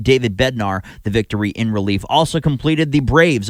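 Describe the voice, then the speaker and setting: A man speaks at a fairly quick pace with lively intonation. He has a plain, everyday voice. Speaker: radio sports host and anchor. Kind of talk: baseball pregame anchoring and scoreboard update.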